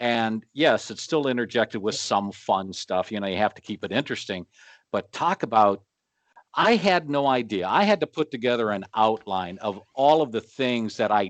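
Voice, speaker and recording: A man speaks in an unremarkable speaking voice at medium pitch and a fairly slow pace. The sound is dry and close with no echo, over a quiet background. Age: 60s. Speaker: flooring inspector and instructor. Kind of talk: casual chat.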